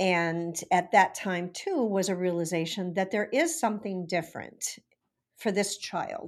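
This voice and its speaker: Over a quiet background, a woman with an American accent speaks in an unremarkable speaking voice with ordinary pitch variation. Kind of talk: interview.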